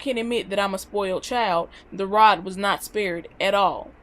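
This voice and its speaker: A woman with a Southern US accent speaks at medium pitch and a fairly slow pace in an animated tone. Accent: country-sounding Southern US. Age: 20s. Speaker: vlogger. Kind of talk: casual vlog monologue.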